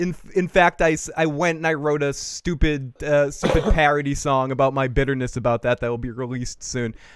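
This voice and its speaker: Delivered at a fairly quick pace with hardly any pauses, the speech comes in an animated tone with a Boston accent. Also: man, fairly high pitch for a man. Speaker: live show host. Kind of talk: casual live-stream chat. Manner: animated, stammering.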